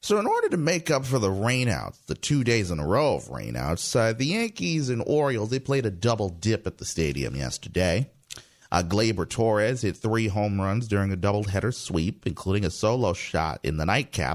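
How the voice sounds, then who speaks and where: Delivery comes at a moderate speed. Its pitch rises and falls over a very wide range. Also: man, fairly low pitch for a man. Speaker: radio host. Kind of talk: radio dj patter: scripted-sounding morning news and traffic show, upbeat station-ID style. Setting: radio studio. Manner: brisk, polished, sign-off catchphrases.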